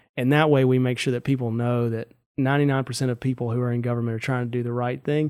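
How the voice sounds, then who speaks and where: Delivered at a very fast pace in a flat monotone, the speech comes with a Mississippi accent. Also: man, medium pitch for a man. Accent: Mississippi Southern. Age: 30s. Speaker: state auditor, elected official. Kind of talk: casual interview. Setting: studio.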